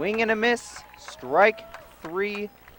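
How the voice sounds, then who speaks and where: A man talks at a very slow pace with noticeable background noise. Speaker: sports announcer. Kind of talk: high school baseball and football play-by-play.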